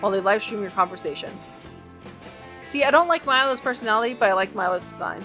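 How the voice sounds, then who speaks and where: Very fast speech with lively intonation over music in the background. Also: woman. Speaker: gaming video host. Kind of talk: reading game text aloud while playing.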